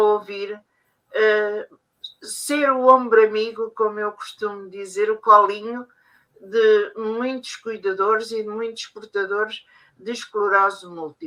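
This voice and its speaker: A woman speaks at a fairly slow pace in a fairly high pitch with a bright, sharp tone. Her intonation stays fairly even. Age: 70s. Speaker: family caregiver. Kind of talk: testimony. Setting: conference session. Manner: halting.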